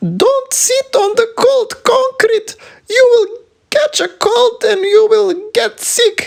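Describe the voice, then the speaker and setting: A put-on character voice, pitched extremely high, speaks at a very slow pace. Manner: scolding, worried.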